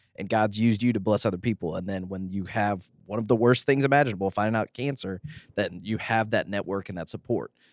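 A man talks at a very fast pace in a fairly low voice with ordinary pitch variation, the sound dry and close with no echo. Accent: Southern US. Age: 30s. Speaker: podcast host. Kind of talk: casual chat.

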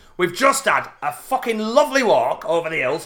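Raised and projected, a man's high-pitched voice swings very widely in pitch with a bright, sharp tone. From Yorkshire, Barnsley. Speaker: podcast co-host. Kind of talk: casual comedic chat.

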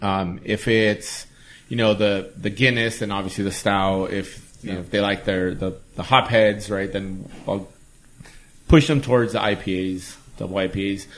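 With an American accent and an unremarkable speaking voice, a man talks at a moderate pace in a fairly low pitch. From East Los Angeles. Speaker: brewer. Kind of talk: casual chat.

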